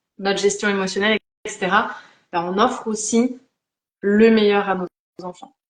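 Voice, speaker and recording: A woman speaks with monotone, flat intonation. Her speech has long, frequent pauses. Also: medium pitch for a woman, moderate pace. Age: 30s. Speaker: life coach. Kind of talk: live interview conversation.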